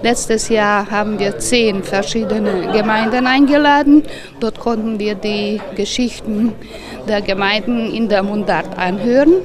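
The speech moves at a fairly slow pace with ordinary pitch variation, over noticeable background noise. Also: woman, fairly high pitch for a woman. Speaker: event organiser. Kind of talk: interview answer. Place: street. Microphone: handheld.

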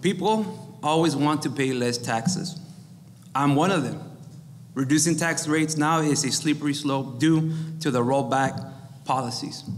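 Here a man talks with an American accent at a fairly high pitch. His pace is moderate, with ordinary pitch variation. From Texas, Rio Grande Valley (Weslaco); Texas. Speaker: school district employee, mayoral candidate; candidate. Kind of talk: candidate forum statements. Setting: live event with audience. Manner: reading prepared text. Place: meeting room. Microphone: podium.

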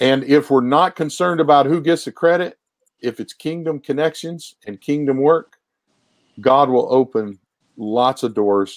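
A man with an American accent talks fairly slowly in a plain, everyday voice. His pitch is fairly high with ordinary pitch variation, over a quiet background. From Ohio, Appalachian family roots. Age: 60s. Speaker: pastor. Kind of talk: conversational interview on ministry. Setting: remote video call. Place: home room. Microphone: earbuds.

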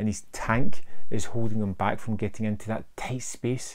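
A man talks at a moderate pace in a fairly low voice. His intonation is fairly even and his tone slightly mellow.

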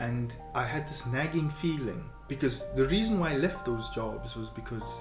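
A man is speaking. Music can be clearly heard behind him. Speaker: interviewer. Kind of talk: casual conversation. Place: home room.

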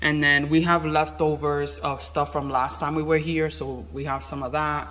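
Over light background noise, a man speaks at a moderate pace in a flat monotone. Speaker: vlogger. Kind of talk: casual vlog chat. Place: home room. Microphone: phone near.

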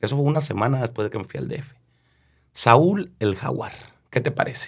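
In a northern Mexican accent, a somewhat breathy voice speaks with lively intonation over a quiet background. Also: man. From northern Mexico, Chihuahua (Delicias area); Chihuahua, Mexico. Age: 30s. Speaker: regional Mexican singer; guest. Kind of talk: casual interview chat. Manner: halting, many repetitions and fillers. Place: studio. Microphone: studio mic.

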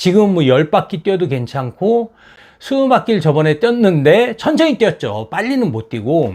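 A man in a high voice talks at a moderate pace with very wide pitch swings. The recording is very clean, with a silent background. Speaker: YouTuber, former taxi driver. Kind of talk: vlog monologue. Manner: casual, filler-heavy.

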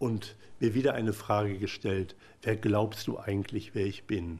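A man's somewhat breathy, fairly low voice at a very slow pace. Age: 50s. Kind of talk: personal testimony talk. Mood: emotional, earnest. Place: hall.

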